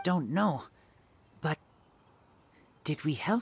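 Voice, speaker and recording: Put-on character voice, middle pitch. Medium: video game. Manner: terse, simple phrasing.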